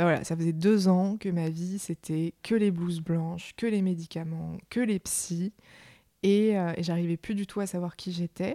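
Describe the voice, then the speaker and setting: This woman's medium-pitched voice has a dark, mellow tone and fairly even intonation at a moderate pace, captured on a very clean recording with a silent background. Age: 20s. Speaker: mental health advocate. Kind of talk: testimony. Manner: halting.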